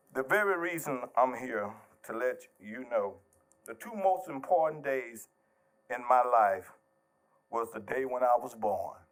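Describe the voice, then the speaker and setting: With an American accent, a man at medium pitch speaks at a fairly slow pace with lively intonation, an animated tone, big swings in loudness and long, frequent pauses. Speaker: minister speaking at public forum. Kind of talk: public comment, preacher style. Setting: public meeting, packed room with mic. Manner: animated, preachy.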